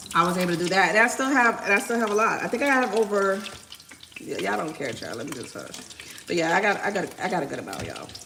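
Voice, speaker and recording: A medium-pitched woman at a very fast pace with lively intonation and big swings in loudness, over audible room echo and noticeable background noise. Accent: American. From Miami. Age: 40s. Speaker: lifestyle vlogger. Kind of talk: casual chat while cooking on livestream.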